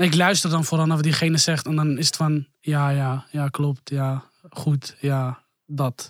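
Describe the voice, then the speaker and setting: A man with a fairly high voice speaks slowly in a monotone, flat intonation, his loudness very even. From Amsterdam. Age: 20s. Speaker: youth worker. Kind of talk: casual chat.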